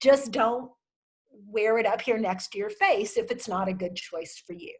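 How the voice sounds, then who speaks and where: A woman speaks at a fairly high pitch. She has a plain, everyday voice. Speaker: wardrobe consultant. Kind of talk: virtual workshop Q&A.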